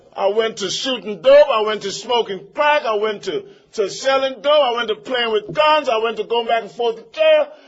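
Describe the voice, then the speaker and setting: Against noticeable background noise, a man with an extremely high pitch talks in an animated tone, with ordinary pitch variation and hardly any pauses. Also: moderate pace. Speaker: recovering addict sharing at a meeting. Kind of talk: testimony.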